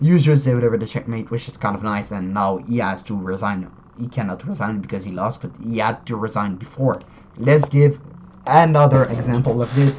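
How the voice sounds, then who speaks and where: The man talks at a fairly quick pace, with a medium pitch and ordinary pitch variation. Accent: non-native. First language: not English. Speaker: chess YouTuber. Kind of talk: tutorial. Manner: halting, many fillers and self-corrections.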